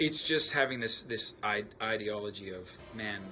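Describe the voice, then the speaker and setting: A man's voice against noticeable background noise. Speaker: musician. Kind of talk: interview answer.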